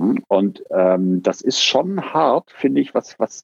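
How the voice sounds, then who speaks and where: With lively intonation, a man speaks in a dry, close sound with no echo. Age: 50s. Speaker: organizational consultant and therapist. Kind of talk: interview conversation.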